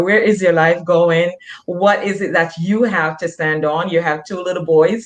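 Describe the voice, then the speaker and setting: With a Jamaican accent, a woman talks at a fairly slow pace, her fairly low pitch showing ordinary variation. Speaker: nurse practitioner, author and motivational speaker. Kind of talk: interview. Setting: online video show.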